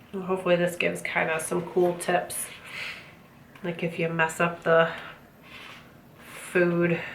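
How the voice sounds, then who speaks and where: A woman speaks at a fairly slow pace in a monotone, flat voice, leaving long, frequent pauses. Audible room echo and noticeable background noise fill the recording. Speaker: book subscription box reviewer. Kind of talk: unboxing review. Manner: casual, hesitant fillers.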